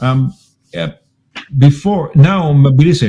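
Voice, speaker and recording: A man with a fairly high pitch and lively intonation speaks in a somewhat breathy voice with a dark, mellow tone. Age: 60s. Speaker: radio host. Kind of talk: casual chat.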